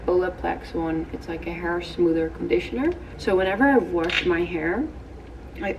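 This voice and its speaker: Moderate-paced speech from a woman amid noticeable background noise. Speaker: lifestyle vlogger. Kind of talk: casual vlog chat. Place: home room. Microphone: phone near.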